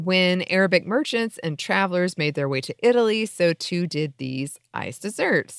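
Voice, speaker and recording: A woman with a normal speaking voice talks at a moderate pace and medium pitch, her lively intonation running with hardly any pauses over a quiet background in a dry, close sound with no echo. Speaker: podcast host. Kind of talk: casual chat.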